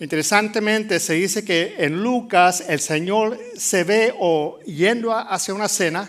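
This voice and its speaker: Audible room echo surrounds a man speaking at a fairly slow pace with a high pitch, ordinary pitch variation and hardly any pauses. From Puerto Rico. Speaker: pastor. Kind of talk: sermon. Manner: halting, with many fillers.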